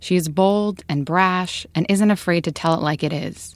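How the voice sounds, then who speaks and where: In a normal speaking voice, a woman with a fairly low pitch talks at a moderate pace with ordinary pitch variation, in a very clean recording with a silent background. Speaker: radio reporter. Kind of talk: scripted radio narration.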